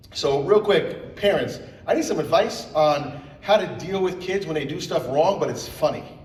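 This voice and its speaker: With noticeable background noise and audible room echo, a man speaks in a high pitch with ordinary pitch variation. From Puerto Rican.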